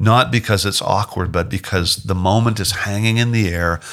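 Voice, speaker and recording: A man with a Canadian accent has an ordinary speaking voice and ordinary pitch variation. The recording is very clean, with a silent background. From Canada. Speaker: singer-songwriter. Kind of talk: interview.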